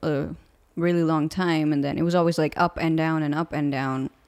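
In a very clean recording with a silent background, a woman speaks in an animated tone at a very deep, low pitch. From India. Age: 20s. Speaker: singer-songwriter. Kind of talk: casual interview chat. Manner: animated, laughs often.

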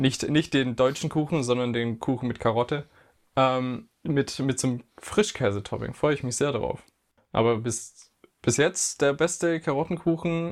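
A man with an unremarkable speaking voice talks at a moderate pace, medium pitch and ordinary pitch variation. The recording is very clean, with a silent background. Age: 20s. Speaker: podcast co-host, physiotherapy student. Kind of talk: casual chat.

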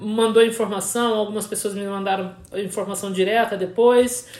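Speech comes at a moderate pace against noticeable background noise. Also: woman. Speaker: podcast host. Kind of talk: casual chat. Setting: recording with a Hudson River view, trains nearby.

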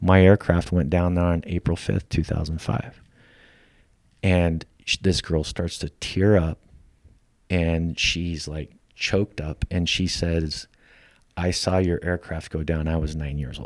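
With an American accent, a man talks at a fairly slow pace, leaving long, frequent pauses. His pitch is very deep and low, and his intonation is monotone and flat. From Idaho, US. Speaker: company founder and military veteran. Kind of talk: casual interview conversation.

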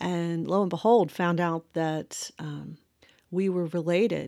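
With an American accent, a woman speaks at a fairly low pitch in a very clean recording against a silent background. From US South, rural Virginia (Westmoreland County). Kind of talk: solo faith podcast monologue. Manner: hesitant, many fillers.

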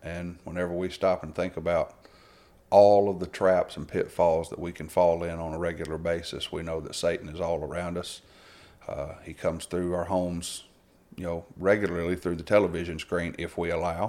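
Speaking with a Southern US accent, a man uses a very deep, low pitch and a dark, mellow tone, flat and monotone at a moderate pace, on a very clean recording with a silent background. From Alabama. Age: 40s. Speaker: preacher. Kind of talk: casual chat.

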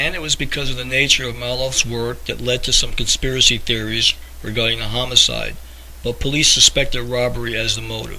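A man's fairly quick talking is heard over noticeable background noise. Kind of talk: true-crime narration. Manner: measured, earnest storyteller pace, conspiratorial undertone; plainly informative, somewhat formal, reading-like.

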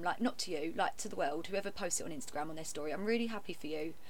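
Talking very fast with lively intonation, a woman uses a fairly low pitch in a room with audible echo. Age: 20s. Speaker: podcast co-host. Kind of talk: casual chat. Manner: loud.

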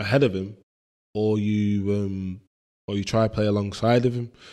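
A man with a Mancunian accent, dark, mellow tone, moderate pace and a quiet background. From Manchester, northern England. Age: 20s. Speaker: footballer. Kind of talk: casual interview.

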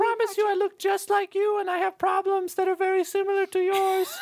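Squeaky and extremely high-pitched, a put-on character voice moves at a fairly quick pace in monotone, flat intonation. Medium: actual play. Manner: solemn, theatrical.

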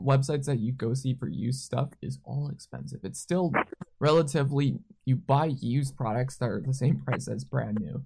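The man's voice is somewhat breathy as he speaks at a moderate pace. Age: 20s. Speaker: podcast host and concert photographer. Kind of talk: casual chat.

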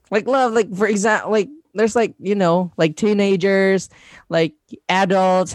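A man with a Filipino accent. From Mindanao, Philippines. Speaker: content creator. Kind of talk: casual interview chat. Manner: hesitant, many fillers and laughs.

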